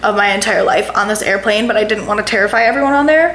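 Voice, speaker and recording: A woman with an American accent and a fairly high pitch, amid noticeable background noise. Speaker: podcast host. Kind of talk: casual chat. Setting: in a family home in Dallas. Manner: animated.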